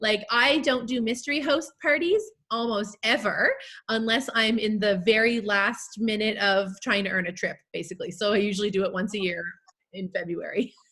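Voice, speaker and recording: A loud woman with a fairly high pitch, a bright, sharp tone, ordinary pitch variation and a moderate pace. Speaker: direct sales team leader. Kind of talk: panel Q&A chat. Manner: casual, filler-heavy.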